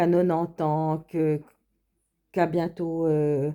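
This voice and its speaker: On a very clean recording with a silent background, a woman talks at a moderate pace with a very deep, low pitch, a dark, mellow tone and monotone, flat intonation. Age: 50s. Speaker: vlogger. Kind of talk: casual monologue. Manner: halting.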